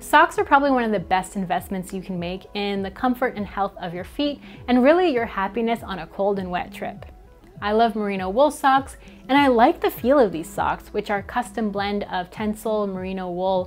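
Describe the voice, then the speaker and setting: A woman speaks at a moderate pace with big swings in loudness. Faint music plays in the background. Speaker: travel product reviewer. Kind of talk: product review commentary. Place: home room. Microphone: lapel.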